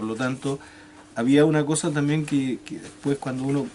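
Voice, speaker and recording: In a southern Chilean accent, a man speaks at a moderate pace. His pitch is fairly high, and there is noticeable background noise. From Chile, Magallanes (Porvenir, Tierra del Fuego). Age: 60s. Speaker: retired teacher, former political prisoner. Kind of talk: interview testimony. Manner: halting, many repetitions and fillers.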